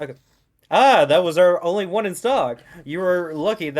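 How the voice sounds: The clip has a natural reading voice. The background is quiet.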